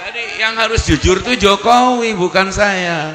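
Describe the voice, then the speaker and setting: A man speaks in an animated tone amid noticeable background noise and audible room echo. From Banten, Indonesia (Pandeglang). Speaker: Islamic preacher. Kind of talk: humorous religious sermon. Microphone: echo added, bass reduced.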